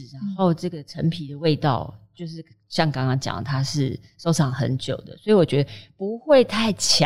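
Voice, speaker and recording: Her very deep, low pitch carries lively intonation as this woman talks at a moderate pace with big swings in loudness. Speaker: food writer. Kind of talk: casual chat.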